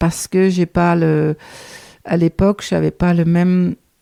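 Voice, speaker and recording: A woman's fairly low, dark and mellow voice with a slight Danish accent, monotone and flat at a very slow pace, dry and close with no echo. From Denmark. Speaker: guesthouse owner, knitter. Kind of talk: podcast interview answer.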